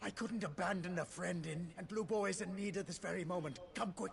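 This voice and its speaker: Someone uses a put-on character voice at a fairly quick pace, with clear background noise behind it. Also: man, high pitch for a man. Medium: video game.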